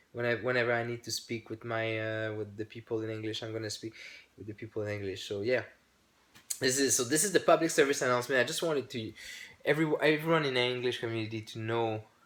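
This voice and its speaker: With a French accent, a man talks at a very fast pace in a medium pitch with ordinary pitch variation. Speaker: YouTuber, hobby channel owner. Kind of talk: casual vlog announcement. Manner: halting, many fillers and restarts.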